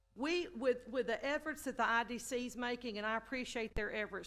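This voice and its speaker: This woman speaks with an East Texas accent at a fairly quick pace. Her pitch is fairly high, with ordinary pitch variation. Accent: East Texas Southern US. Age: 60s. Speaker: city council member. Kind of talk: council meeting remarks. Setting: city council meeting chamber. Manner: halting, many repeated words.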